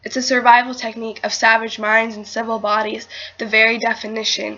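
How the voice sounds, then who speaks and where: Noticeable background noise surrounds a woman's voice. She speaks at a fairly high pitch with monotone, flat intonation. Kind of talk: slam poetry performance.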